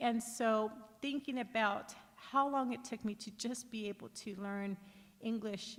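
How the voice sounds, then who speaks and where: A woman's fairly high voice, somewhat breathy, its pitch varying in an ordinary way. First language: Spanish. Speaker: panel speaker. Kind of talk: personal testimony at a summit panel.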